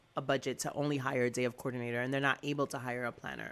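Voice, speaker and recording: Loud and energetic, a woman speaks with a bright, sharp tone on a very clean recording with a silent background. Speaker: wedding planner. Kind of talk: casual chat. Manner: hyper, energetic.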